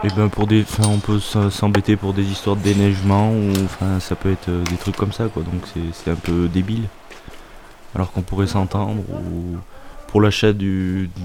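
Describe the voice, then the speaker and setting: Over noticeable background noise, a man with a fairly low voice talks at a moderate pace in a flat monotone. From France, Auvergne. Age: young. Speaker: farming apprentice. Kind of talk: interview. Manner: halting.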